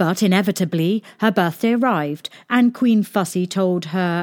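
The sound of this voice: The reading voice is unforced. Its pitch shifts in an ordinary way.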